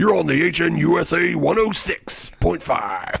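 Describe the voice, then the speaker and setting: Speaking at a moderate pace, a man uses a raspy put-on character voice pitched in the medium range. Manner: cheesy, exaggerated.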